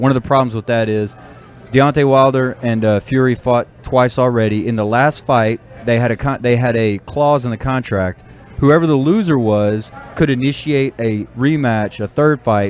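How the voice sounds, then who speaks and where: A man talks in a medium pitch with ordinary pitch variation. His pace is moderate, with music playing behind him. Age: 40s. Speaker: sports talk show co-host. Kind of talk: casual sports chat.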